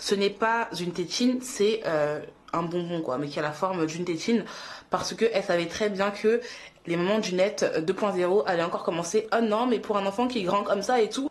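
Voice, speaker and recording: This is a woman speaking at a medium pitch. Her pitch moves with ordinary variation. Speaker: YouTuber and mother. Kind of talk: casual vlog monologue. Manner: fast; animated.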